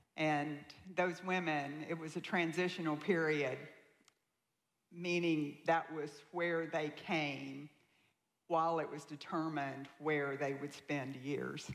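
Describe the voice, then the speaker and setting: A woman with a Southern accent, very deep and low in pitch, very slow with long, frequent pauses, monotone and flat in intonation, with audible room echo. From US South, Tennessee. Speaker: guest speaker sharing her life story. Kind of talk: testimony.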